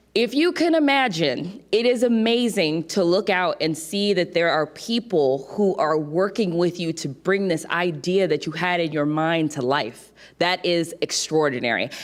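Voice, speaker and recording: The delivery is fairly slow, with hardly any pauses. The tone is animated and the intonation lively. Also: woman, fairly low pitch for a woman. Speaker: entrepreneur, keynote speaker. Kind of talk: keynote speech. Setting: stage with audience.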